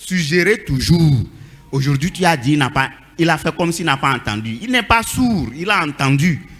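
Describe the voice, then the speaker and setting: An animated tone with very wide pitch swings at a fairly slow pace. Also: man. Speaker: church member speaking in a debate. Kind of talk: church panel debate.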